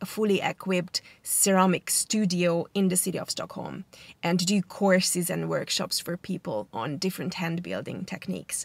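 At a moderate pace, a woman speaks with vocal fry and ordinary pitch variation, the sound dry with no echo. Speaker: vlogger. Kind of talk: casual vlog chat. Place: car. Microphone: phone near.

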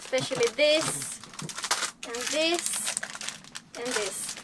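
A woman talks at a very slow pace with ordinary pitch variation over noticeable background noise. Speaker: sailing vlogger. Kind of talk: casual vlog chat. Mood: happy, excited. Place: boat.

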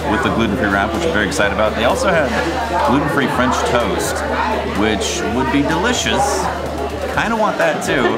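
Over background music, a man speaks at a very fast pace. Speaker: vlogger. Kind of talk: casual vlog chat. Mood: cheerful, excited about food. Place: cafe. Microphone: camera far.

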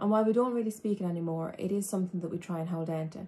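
A woman with a fairly low, somewhat breathy voice and a dark, mellow tone talks at a very fast pace with fairly even intonation. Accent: Irish. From Ireland. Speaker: human rights advocate and trainee teacher. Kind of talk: educational talk. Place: home room. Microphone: phone near.

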